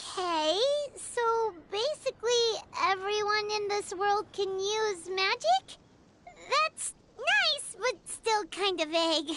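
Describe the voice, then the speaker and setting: A put-on, squeaky character voice at an extremely high pitch and a very slow pace. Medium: video game. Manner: casual, practical.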